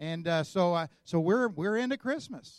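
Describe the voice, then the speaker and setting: A man with an American accent speaks in a high pitch with ordinary pitch variation. The sound is dry and close, without echo. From Oklahoma. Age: 50s. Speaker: guest preacher. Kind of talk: sermon. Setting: church.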